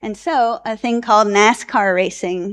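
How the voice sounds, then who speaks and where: In a plain, everyday voice, a woman with an American accent talks at a fairly slow pace, her medium pitch showing ordinary variation. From US Northeast, New Jersey. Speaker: addiction researcher. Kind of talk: conference presentation. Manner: casual, many filler ums.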